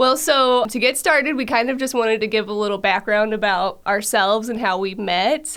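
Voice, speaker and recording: With an American accent, a woman speaks at a moderate pace in a fairly high pitch with ordinary pitch variation. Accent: Southern-sounding, per some people. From central Illinois, US Midwest. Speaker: podcast host, dietitian. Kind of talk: scripted intro; casual chat.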